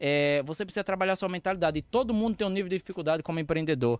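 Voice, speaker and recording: A man speaks with lively intonation. The sound is dry and close with no echo, over a quiet background. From Brazilian Northeast, Arapiraca (Alagoas). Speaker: author, mentor and entrepreneur. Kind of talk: casual interview chat.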